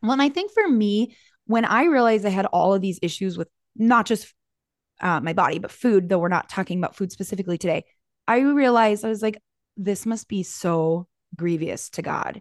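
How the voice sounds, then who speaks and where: A woman of medium pitch talks at a fairly quick pace in an ordinary speaking voice with ordinary pitch variation, her sound dry and close with no echo against a quiet background. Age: 40s. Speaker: podcast co-host. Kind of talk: casual chat.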